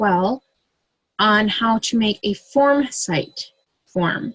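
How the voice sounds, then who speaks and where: A woman's fairly high, somewhat breathy voice with ordinary pitch variation. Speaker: direct sales consultant. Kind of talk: tutorial. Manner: casual, with fillers.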